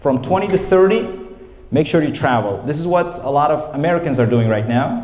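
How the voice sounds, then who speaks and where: An animated male voice amid audible room echo and noticeable background noise. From Uzbekistan, Namangan. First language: Uzbek. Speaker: English teacher. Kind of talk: lecture. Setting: training session with audience.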